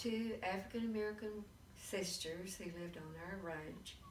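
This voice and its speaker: A woman's medium-pitched voice with a Texan accent, ordinary pitch variation, big swings in loudness, and audible room echo. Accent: Texan Southern. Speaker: grandmother interviewed about history. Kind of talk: oral history interview.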